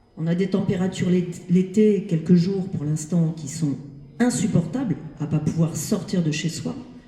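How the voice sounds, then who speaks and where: Through noticeable background noise, a woman talks at a fairly slow pace, her fairly low pitch showing ordinary variation. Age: 60s. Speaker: audience member. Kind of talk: audience question. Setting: library event with audience.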